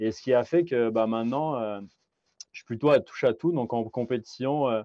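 A man talks at a fairly slow pace with medium pitch. His pitch varies in an ordinary way. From France. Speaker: amateur ultra-distance cyclist and podcaster. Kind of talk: interview conversation. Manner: hesitant, many fillers and repetitions.

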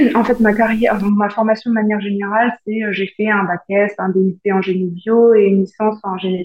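A woman speaks with a medium pitch. Her intonation is flat and monotone. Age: 30s. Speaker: aircraft painter. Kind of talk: interview.

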